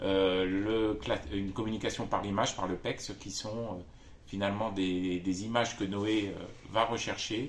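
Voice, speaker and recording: A man's fairly low, fairly slow, monotone and flat delivery with audible room echo. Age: 50s. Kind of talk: testimony. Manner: halting, many hesitations.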